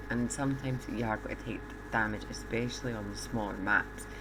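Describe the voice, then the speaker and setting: A soft-spoken voice comes at a moderate pace over noticeable background noise. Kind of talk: game tutorial commentary.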